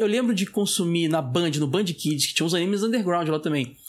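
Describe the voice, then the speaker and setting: A man talks at a fairly quick pace. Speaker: podcast co-host. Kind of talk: casual chat.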